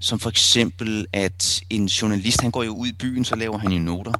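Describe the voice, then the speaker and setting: Over noticeable background noise, a man speaks very slowly in a fairly low pitch with fairly even intonation. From Copenhagen area, Denmark (Rødovre). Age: 40s. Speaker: photojournalist. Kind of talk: interview. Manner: hesitant, many fillers.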